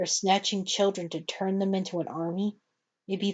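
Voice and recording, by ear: The speaker reads aloud in a natural voice over a quiet background.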